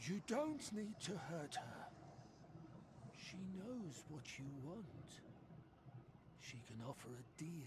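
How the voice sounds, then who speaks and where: Using a put-on character voice, a man speaks at a high pitch and a very slow pace, with long, frequent pauses over clear background noise. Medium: video game. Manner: speaks of herself in third person, cryptic.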